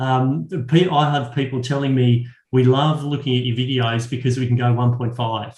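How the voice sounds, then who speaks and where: A man speaks at a fairly quick pace in a medium pitch, somewhat breathy and monotone, with flat intonation. Room echo is audible. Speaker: education consultant. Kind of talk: webinar Q and A. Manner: fast.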